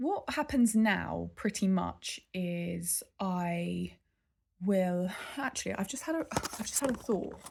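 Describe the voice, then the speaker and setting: A woman with an English accent speaks at a very slow pace. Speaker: vlogger. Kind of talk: casual vlog update. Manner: halting.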